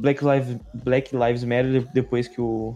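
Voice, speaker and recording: Noticeable background noise sits under the recording. Over it, a man speaks at a medium pitch. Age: 20s. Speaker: podcast host. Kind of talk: casual chat.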